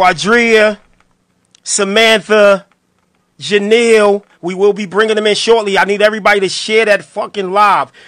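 Bright and sharp in tone, a man's high voice moves at a moderate pace in a monotone, flat intonation. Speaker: radio show host. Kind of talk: casual chat. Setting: studio.

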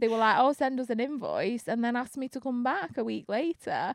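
The speaker has a Manchester accent. The sound is dry and close with no echo, on a very clean recording with a silent background. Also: woman. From Manchester, England. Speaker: DJ and presenter. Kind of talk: casual interview chat. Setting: studio.

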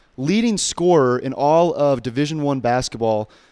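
Speaking with an American accent, a man has an ordinary speaking voice and ordinary pitch variation. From Colorado, Denver area. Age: 20s. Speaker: college basketball player and podcast host. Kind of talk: casual chat.

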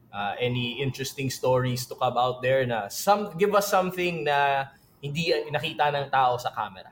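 With lively intonation and a somewhat breathy sound, a man talks at a fairly high pitch. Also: moderate pace. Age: 30s. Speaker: podcast host. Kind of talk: casual interview chat.

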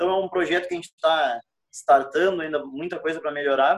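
A man speaks in a normal speaking voice at a fairly quick pace. His pitch is fairly high, with ordinary variation. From Rio Grande do Sul. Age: 20s. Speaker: podcast co-host. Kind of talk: casual chat.

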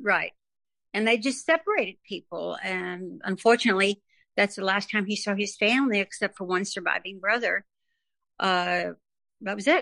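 A woman with an American accent talks at a moderate pace and medium pitch, her tone bright and sharp and her pitch variation ordinary, taking long, frequent pauses in a dry, close sound with no echo over a quiet background. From New York City (Bronx). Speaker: gospel and country singer. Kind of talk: interview, personal testimony.

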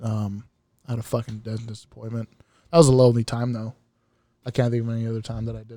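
A man's medium-pitched voice has a dark, mellow tone and a monotone, flat intonation, with big swings in loudness. He moves at a very fast pace but leaves long, frequent pauses. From Mexican-American, US. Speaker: podcast co-host. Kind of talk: casual chat.

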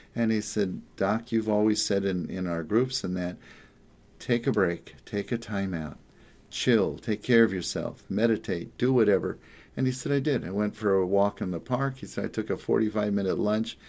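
A man speaks in a plain, everyday voice with an American accent, his pitch fairly low with ordinary variation. He keeps a moderate pace on a very clean recording with a silent background. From New Jersey, Jersey Shore. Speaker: psychotherapist. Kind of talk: casual monologue. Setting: home office.

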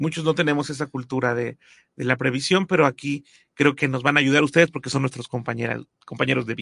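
In a dry, close sound with no echo, a man speaks very fast at a fairly high pitch with fairly even intonation. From Mexico. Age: 40s. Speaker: podcast host. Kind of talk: interview.

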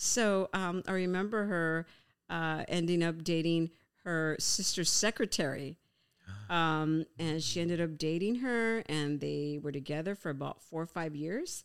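A woman talks fairly slowly in a normal speaking voice, her pitch fairly low with ordinary variation. The sound is dry and close with no echo, and the recording is very clean against a silent background. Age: 50s. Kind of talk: casual chat.

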